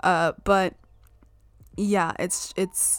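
A woman speaks with an animated tone. Her pitch sits in the medium range. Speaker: podcast host. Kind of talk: solo podcast monologue, casual chat. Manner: animated, laughs often, wandering.

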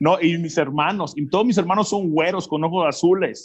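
A man with a high pitch speaks at a moderate pace in an animated tone with ordinary pitch variation. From Mexico, Zacatecas (born in US, raised partly in Peru). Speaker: motivational speaker. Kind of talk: interview testimony.

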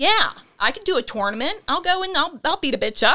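In a Pittsburgh accent, a woman speaks fairly quickly in a raised, projected voice with a bright, sharp tone and very wide pitch swings. The recording is very clean, with a silent background. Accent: Pittsburgh (western Pennsylvania). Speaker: author and actress. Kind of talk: casual chat.

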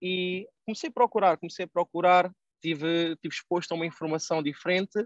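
A man with high pitch and fairly even intonation, at a fairly quick pace over a quiet background. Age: 20s. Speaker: online entrepreneur and investment educator. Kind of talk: casual interview.

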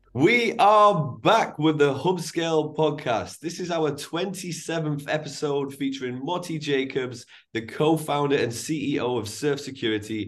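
With an ordinary speaking voice, a man talks at a fairly slow pace and fairly high pitch, using lively intonation and hardly any pauses. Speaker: podcast host, recruiter. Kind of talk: interview.

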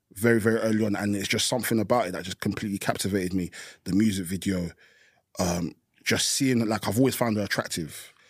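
A man's fairly low voice, very fast and fairly even in intonation, on a very clean recording with a silent background. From Essex, England. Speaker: rapper. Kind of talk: casual chat.

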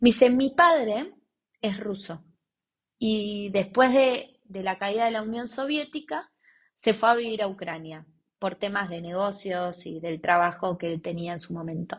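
A woman with a medium pitch speaks at a fairly slow pace, somewhat breathy. Her intonation is lively, and her loudness swings widely. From Argentina, Buenos Aires. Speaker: volunteer and entrepreneur. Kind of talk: interview testimony.

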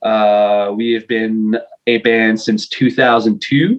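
A man's medium-pitched voice with a Quebec accent. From Quebec, Montreal. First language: French. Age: 40s. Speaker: metal vocalist. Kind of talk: casual interview. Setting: video call.

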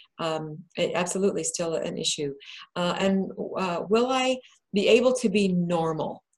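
A woman talks at a fairly slow pace in a medium pitch. Hers is an unremarkable speaking voice. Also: ordinary pitch variation. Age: 60s. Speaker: bariatric patient and author presenting a webinar. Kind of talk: presentation to a group.

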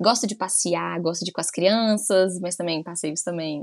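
A woman with a normal speaking voice, medium in pitch, with ordinary pitch variation. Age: 30s. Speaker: podcast co-host, mother. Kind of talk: casual chat.

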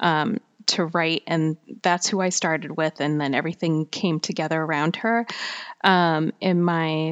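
A woman is speaking. Her pace is fairly slow. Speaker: fiction writer and podcaster. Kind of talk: casual solo talk. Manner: halting, filler-heavy.

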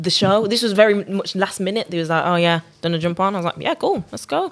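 A woman with a Birmingham accent talks very fast at a medium pitch, and her pitch varies in an ordinary way. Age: young. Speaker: R&B singer. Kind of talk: casual chat.

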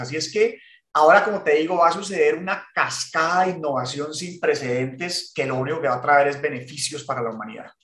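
Audible room echo surrounds a man talking at a fairly quick pace. His voice is fairly high in pitch, with lively intonation. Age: 40s. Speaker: podcast co-host. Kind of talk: casual chat.

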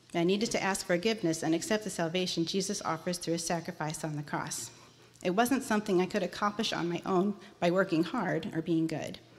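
A plain, everyday voice from a woman, fairly low in pitch, with ordinary pitch variation and a fairly quick pace. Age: 40s. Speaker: church member giving testimony. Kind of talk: testimony. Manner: reading prepared text.

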